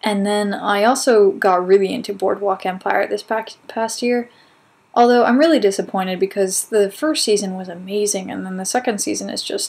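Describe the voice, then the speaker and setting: At a moderate pace, a woman speaks in a normal speaking voice with a medium pitch. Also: ordinary pitch variation, big swings in loudness. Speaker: video blog host. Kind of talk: casual talk to camera.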